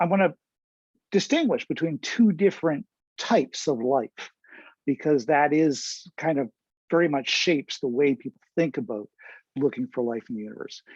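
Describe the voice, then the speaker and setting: A man's fairly high voice with lively intonation, a moderate pace and long, frequent pauses, dry and close with no echo against a quiet background. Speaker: astronomer. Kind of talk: lecture.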